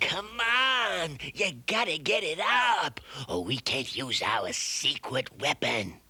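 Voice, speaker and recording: A cartoonish character voice with a fairly high pitch drawls along at a very slow pace. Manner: scheming, bossy.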